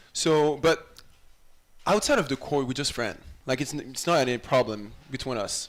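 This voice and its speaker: With a French accent, a man speaks at a moderate pace in a fairly high pitch, with ordinary pitch variation. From France. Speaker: college volleyball player. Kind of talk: interview. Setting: live show in a restaurant.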